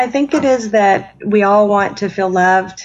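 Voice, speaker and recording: At a moderate pace and a medium pitch, a woman talks in an unremarkable speaking voice. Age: 40s. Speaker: spiritual mentor and author. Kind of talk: interview.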